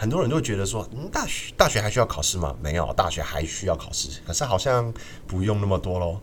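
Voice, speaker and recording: A man with a Taiwanese accent speaks at a fairly quick pace with lively intonation. The recording has audible room echo. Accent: Taiwanese Mandarin. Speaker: student podcast host. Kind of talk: casual chat.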